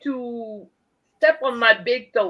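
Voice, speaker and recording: A woman with a Quebec accent speaks at a very slow pace. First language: French. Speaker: livestream guest. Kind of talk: casual chat. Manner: halting.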